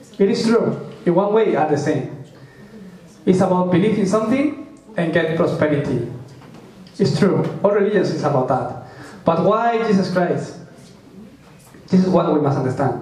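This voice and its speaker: Lively intonation is broken by long, frequent pauses at a moderate pace, with audible room echo in the recording. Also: man, high pitch for a man. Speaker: preacher. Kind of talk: sermon. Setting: church. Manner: halting, with frequent fillers.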